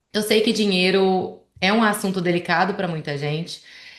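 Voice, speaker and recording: A woman speaks at a medium pitch with a Goiânia accent and fairly even intonation. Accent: Goiânia accent, noticeable. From Goiás, central Brazil (Goiânia). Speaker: financial planner. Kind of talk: presentation in a conversation.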